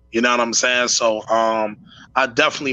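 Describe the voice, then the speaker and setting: A man speaks at a medium pitch with a bright, sharp tone. His pace is fairly quick. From West Philadelphia, Pennsylvania. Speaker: hip-hop artist. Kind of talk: casual interview chat.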